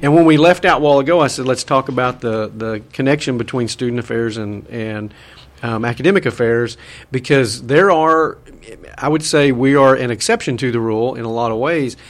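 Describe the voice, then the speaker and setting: Ordinary pitch variation at a fairly quick pace. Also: man, medium pitch for a man. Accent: Southern US. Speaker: radio host and university administrator. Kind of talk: casual interview. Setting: radio studio.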